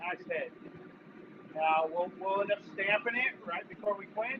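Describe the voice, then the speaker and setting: Speaking loudly and at a fairly slow pace, a man uses a high-pitched voice. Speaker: blacksmith. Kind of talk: live demonstration. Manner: casual.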